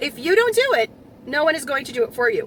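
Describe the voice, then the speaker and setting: A woman's raised, projected voice swings very widely in pitch over noticeable background noise. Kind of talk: commentary talk to camera.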